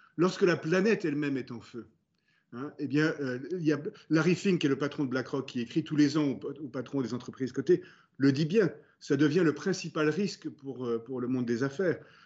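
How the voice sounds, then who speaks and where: A man with an ordinary speaking voice talks in a fairly high pitch, with ordinary pitch variation. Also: moderate pace. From France. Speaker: business executive. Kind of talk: interview. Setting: video call.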